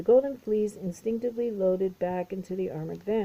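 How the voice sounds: This clip has a natural reading voice whose pitch shifts in an ordinary way.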